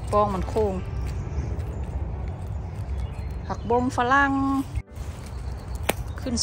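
The sound is dry, without any echo. Behind the voice, music plays. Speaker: forager vlogger. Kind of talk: casual vlog chat. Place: forest. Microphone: phone near.

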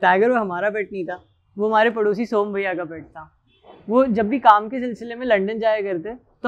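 His voice has a high pitch for a man and big swings in loudness. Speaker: actor in a short film. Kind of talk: emotional storytelling monologue.

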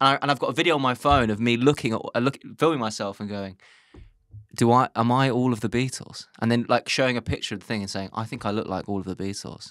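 A man speaks very fast with a London accent. The background is quiet and the sound is dry with no echo. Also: medium pitch for a man, ordinary pitch variation. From London, Islington. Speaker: comedian. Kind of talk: casual chat. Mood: amused, storytelling. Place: studio. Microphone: studio mic.

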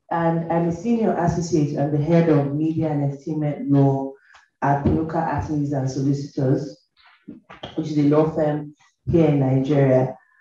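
A woman speaks in a very deep, low voice with a dark, mellow tone. It sounds somewhat breathy, with fairly even intonation. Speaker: panel moderator, lawyer. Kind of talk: panel moderation. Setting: stage with audience.

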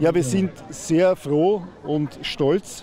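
With light background noise and a dry sound with no echo, a man speaks with ordinary pitch variation. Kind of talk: interview answer. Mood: pleased, promotional. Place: open country. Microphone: handheld.

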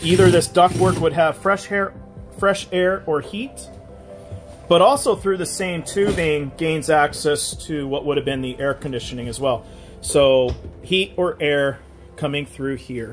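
Clear music plays behind a man speaking at a fairly slow pace. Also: ordinary pitch variation. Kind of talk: tutorial. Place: bus. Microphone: phone near.

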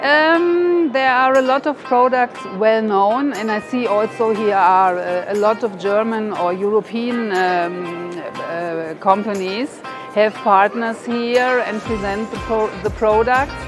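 A woman at a very slow pace, with clear music in the background. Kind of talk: interview answer. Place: hall.

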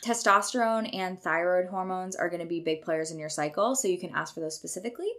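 Speaking very fast with hardly any pauses, this woman has a medium-pitched voice. Her words run together at speed. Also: ordinary pitch variation. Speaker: nutrition podcast host. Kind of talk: solo podcast monologue. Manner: casual and irreverent.

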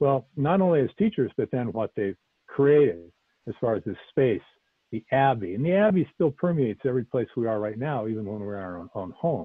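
A man with an American accent at a medium pitch, fairly quick and with very wide pitch swings, in a dry sound with no echo against a quiet background. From US Pacific Northwest, Portland Oregon. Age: 60s. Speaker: Zen teacher. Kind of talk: dharma talk. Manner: halting. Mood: calm, earnest, searching. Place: home room. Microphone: earbuds.

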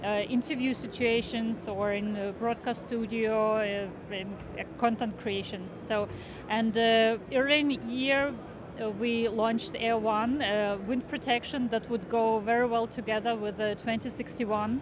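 With few pauses, a woman speaks at a fairly slow pace, her fairly high pitch held in fairly even intonation.

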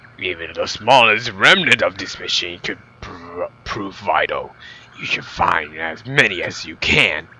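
In a put-on character voice, a man speaks raspily at a fairly low pitch and a fairly slow pace. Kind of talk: man doing a woman's voice, amateur voice acting. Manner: prim, formal, eager.

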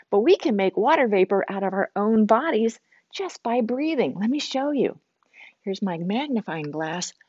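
A woman talks at a moderate pace against a quiet background, her sound dry with no echo. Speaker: nature center educator. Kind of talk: children's educational talk. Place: classroom.

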